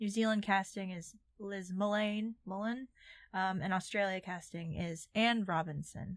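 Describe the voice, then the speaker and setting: An unremarkable speaking voice from a woman, medium in pitch with fairly even intonation and a fairly slow pace, in a very clean recording with a silent background. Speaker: podcast host. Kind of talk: casual chat.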